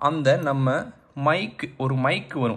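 This man talks at a medium pitch. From Tamil Nadu, India. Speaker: gamer and tech YouTuber. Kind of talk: casual unboxing talk to camera. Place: home room. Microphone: phone near.

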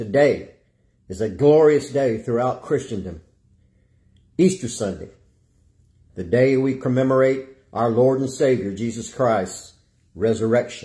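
Against a quiet background, a man with a dark, mellow, somewhat breathy tone speaks at a fairly slow pace, using ordinary pitch variation and long, frequent pauses. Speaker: evangelist, preacher. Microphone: phone near.

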